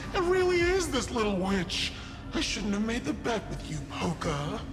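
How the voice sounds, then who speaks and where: A cartoonish character voice at a fairly high pitch and a moderate pace, over loud background noise. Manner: theatrical, cackling.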